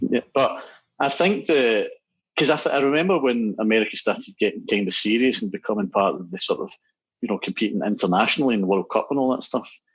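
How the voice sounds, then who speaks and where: Speaking at a very fast pace with a Scottish accent, a man uses a medium pitch with very wide pitch swings. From Scotland. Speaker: musician and app developer. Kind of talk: casual chat.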